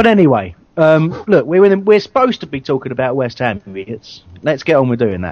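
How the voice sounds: Lively in intonation, a man speaks at medium pitch and a fairly quick pace with a slightly mellow tone.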